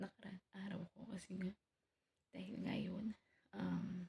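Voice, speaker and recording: Soft-spoken and with vocal fry, a woman of medium pitch talks at a fairly slow pace in a dry, close sound with no echo. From Philippines. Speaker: vlogger. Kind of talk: casual vlog update. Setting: at home early morning.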